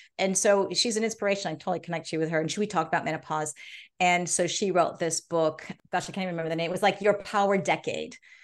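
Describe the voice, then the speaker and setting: A woman with a Californian accent talks at a very fast pace. Her voice sits at medium pitch with fairly even intonation. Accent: General American (California). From US, Los Angeles. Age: 50s. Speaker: gerontologist and biohacker. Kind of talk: interview.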